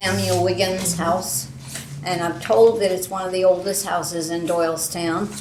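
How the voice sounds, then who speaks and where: There is audible room echo around this woman's voice. Her pitch is fairly low, with fairly even intonation. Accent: American. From US Northeast, Pennsylvania. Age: 80s+. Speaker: local resident, oral history interviewee. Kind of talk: oral history interview.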